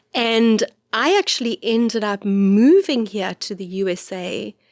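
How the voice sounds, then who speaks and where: A very slow voice with an South African accent and ordinary pitch variation, in a very clean recording with a silent background and a dry, close sound with no echo. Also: woman. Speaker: priest and podcast host. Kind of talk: casual chat. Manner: halting.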